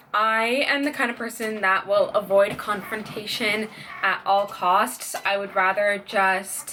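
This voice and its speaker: A woman's medium-pitched voice with ordinary pitch variation, against noticeable background noise. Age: 20s. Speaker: small business owner. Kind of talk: casual talk to camera.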